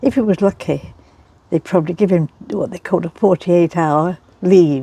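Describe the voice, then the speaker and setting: With an East Midlands accent, a woman speaks at a moderate pace in a fairly low pitch and a dark, mellow tone, with ordinary pitch variation and a dry, close sound with no echo. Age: 80s+. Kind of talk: interview answer.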